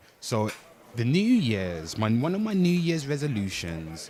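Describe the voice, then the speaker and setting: A man's voice with very wide pitch swings amid noticeable background noise. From Britain. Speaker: livestreamer, pop culture commentator. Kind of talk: live stream chat. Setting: livestream. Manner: animated.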